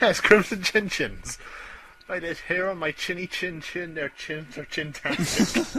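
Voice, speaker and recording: Over noticeable background noise, a man with a Scottish accent talks fairly slowly in a high voice, with ordinary pitch variation and big swings in loudness. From Scotland. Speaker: gaming podcast co-host. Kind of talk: casual chat.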